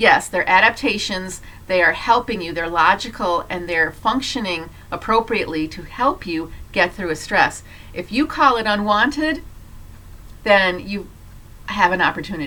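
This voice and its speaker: Against noticeable background noise, a woman at a medium pitch talks at a moderate pace with lively intonation and big swings in loudness. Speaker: health educator, doctor. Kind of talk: health talk to camera.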